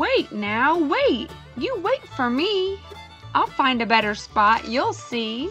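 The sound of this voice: A woman speaks slowly in a put-on character voice, high-pitched and fairly bright, with big pitch swings and faint music in the background.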